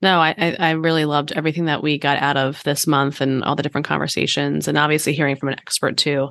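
A woman with a very deep, low pitch and vocal fry talks at a very fast pace with hardly any pauses, her loudness very even. Her intonation is monotone and flat against a quiet background. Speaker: podcast co-host. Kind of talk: casual chat.

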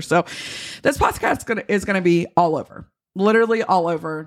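With lively intonation, a woman talks at a moderate pace in an unremarkable speaking voice. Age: 30s. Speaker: podcast host and boutique owner. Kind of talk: casual chat. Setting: home office studio. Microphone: professional mic picking up everything.

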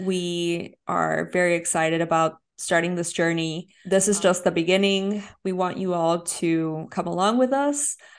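Over a quiet background, a woman with an American accent speaks at a fairly slow pace. She uses ordinary pitch variation and hardly any pauses. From Houston, Texas (Mexican-born). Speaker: podcast co-host. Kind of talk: casual chat.

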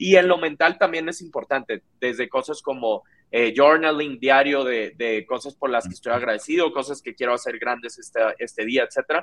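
Recorded dry and close with no echo, a man with an ordinary speaking voice and a fairly high pitch talks at a moderate pace with hardly any pauses and ordinary pitch variation. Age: 20s. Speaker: startup founder and CEO. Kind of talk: interview.

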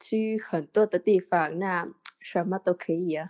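Very slowly, a woman talks. Her pitch sits in the medium range and varies in an ordinary way. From Vietnam. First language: Vietnamese (speaking Chinese). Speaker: podcast listener, Chinese learner. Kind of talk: casual interview chat. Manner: halting, many fillers and repetitions.

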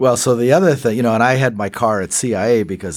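With vocal fry in his voice, a man speaks at a fairly quick pace. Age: 70s. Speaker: former intelligence officer and defense official. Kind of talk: interview.

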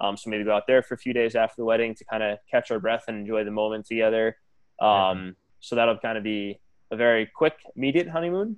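Speaking at a very fast pace with an American accent, a man shows a medium pitch, ordinary pitch variation and big swings in loudness. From New York, northern Westchester County. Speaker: groom, school chef. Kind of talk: casual chat.

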